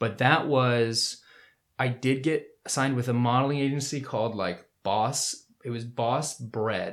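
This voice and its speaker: A man with an American accent speaks in a normal speaking voice, his pitch medium and its variation ordinary. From US South, Winter Park, Florida. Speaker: actor and filmmaker. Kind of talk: casual chat.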